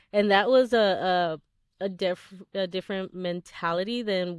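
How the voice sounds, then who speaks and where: This is an ordinary speaking voice from a woman. Her pitch is medium and her intonation fairly even. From Texas, raised by Mexican immigrant parents. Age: 30s. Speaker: real estate investing educator. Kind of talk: interview conversation.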